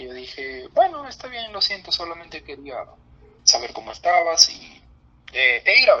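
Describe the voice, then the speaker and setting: This man's loudness rises and falls sharply while he keeps a moderate pace. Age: 20s. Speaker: geology graduate. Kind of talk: casual chat. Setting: video call.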